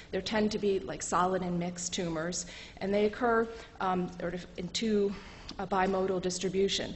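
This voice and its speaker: A woman speaks in a flat monotone, with audible room echo and noticeable background noise behind her. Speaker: medical lecturer. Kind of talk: lecture. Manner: fast.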